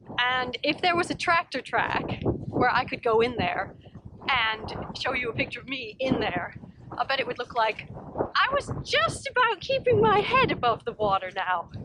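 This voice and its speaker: Against noticeable background noise, a woman with a high pitch speaks at a moderate pace, her voice making very wide pitch swings. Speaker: psychologist and professor. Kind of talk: walking vlog talk to camera. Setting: outdoors. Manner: inviting, approachable storytelling.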